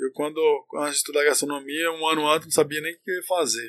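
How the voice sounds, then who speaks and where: A man talks at a fairly quick pace. His fairly high voice has a bright, sharp tone. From Northern Minas Gerais, Brazil (Montes Claros). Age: 40s. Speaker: chef and entrepreneur. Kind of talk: casual chat. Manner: interrupts often.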